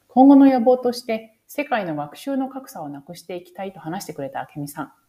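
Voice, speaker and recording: The speaker moves at a fairly quick pace with very wide pitch swings. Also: woman. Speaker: podcast host, interviewer. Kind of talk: scripted recap narration; interview podcast.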